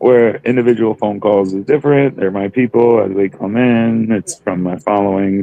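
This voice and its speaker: Music plays in the background as the speaker talks at a moderate pace. The accent is American, with ordinary pitch variation. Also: man. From Wisconsin, US Midwest. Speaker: cannabis entrepreneur. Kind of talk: podcast interview.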